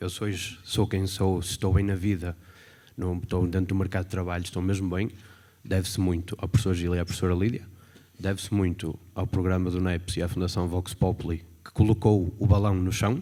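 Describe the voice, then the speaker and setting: Very deep and low, a man's voice has a dark, mellow tone and monotone, flat intonation. He talks at a fairly quick pace in a very clean recording with a silent background. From northern Portugal, Guimarães. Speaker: former student, executive assistant. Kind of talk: testimony at event.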